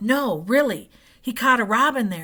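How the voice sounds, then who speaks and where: A woman performs a put-on character voice at a fairly high pitch. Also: moderate pace. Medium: read story. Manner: anxious, gossipy.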